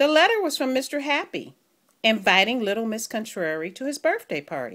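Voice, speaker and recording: A woman speaks with vocal fry and very wide pitch swings. The recording is very clean, with a silent background. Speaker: grandmother, former kindergarten teacher. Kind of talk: children's storybook reading.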